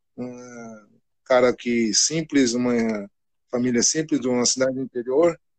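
A man with an ordinary speaking voice talks at a fairly slow pace in a medium pitch, with fairly even intonation and a dry, close sound with no echo. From Rio Grande do Sul, Brazil (Cachoeira do Sul). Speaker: football coach. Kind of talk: casual interview.

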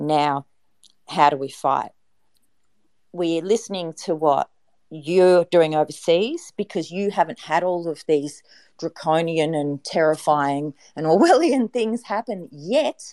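A woman pauses often and at length, her pitch moving in an ordinary way, in a dry, close recording with no echo. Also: fairly low pitch for a woman, fairly slow pace. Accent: Australian. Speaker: activist, YouTuber. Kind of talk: online group discussion.

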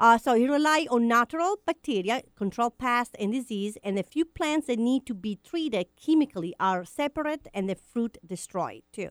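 With an Italian accent, the speaker uses lively intonation in a dry, close sound with no echo. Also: woman, high pitch for a woman, moderate pace. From Italy. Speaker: radio co-host. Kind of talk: casual chat. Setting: studio.

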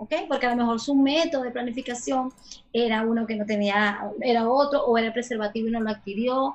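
A woman's fairly high voice with ordinary pitch variation at a fairly quick pace. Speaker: sexologist. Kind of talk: casual interview. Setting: video call.

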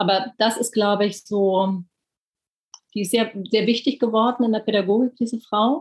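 At a moderate pace, a woman talks in a normal speaking voice with ordinary pitch variation. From Germany, Berlin. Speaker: author and reporter. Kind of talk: interview.

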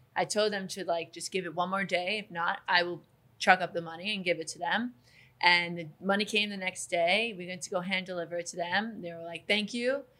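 A woman with an American accent talks at a medium pitch in a bright, sharp tone with big swings in loudness. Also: fairly even intonation, fairly quick pace. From Long Island, New York. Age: 20s. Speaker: real estate agent. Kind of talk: casual interview.

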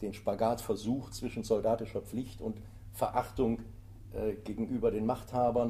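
A man speaks at a medium pitch and moderate pace with a monotone, flat intonation. His tone is dark and mellow, with vocal fry. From Germany, Eifel (Rhineland). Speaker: author and tour guide. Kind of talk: interview. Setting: library recording.

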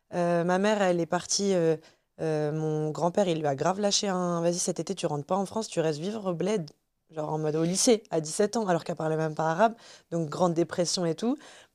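A woman's dark, mellow tone at a fairly quick pace. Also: fairly low pitch for a woman, ordinary pitch variation, very clean recording, silent background. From Tunisia. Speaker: podcast guest. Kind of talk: casual chat.

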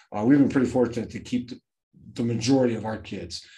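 A man talks in a monotone with flat intonation. His tone is dark and mellow. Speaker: high school football coach. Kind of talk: casual interview chat.

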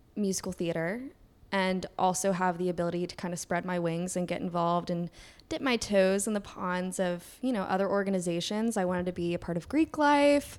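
The speaker has a slight Southern US accent. Pitch variation is ordinary and the pace moderate. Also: woman. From Kentucky. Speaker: podcast co-host. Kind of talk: casual chat.

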